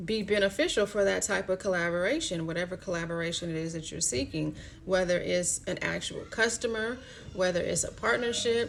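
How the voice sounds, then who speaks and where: A woman at medium pitch with vocal fry, fairly quick pace and ordinary pitch variation. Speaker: astrology card reader. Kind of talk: live-streamed card reading. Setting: live stream. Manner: casual, filler-heavy.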